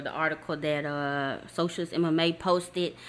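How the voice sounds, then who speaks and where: A woman's plain, everyday voice, fairly low in pitch and at a fairly slow pace. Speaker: podcast host. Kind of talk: casual chat, interview.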